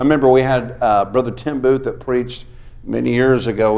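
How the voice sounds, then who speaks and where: A man's medium-pitched voice, ordinary pitch variation, and a fairly quick pace. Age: 60s. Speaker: revival preacher. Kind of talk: sermon. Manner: animated.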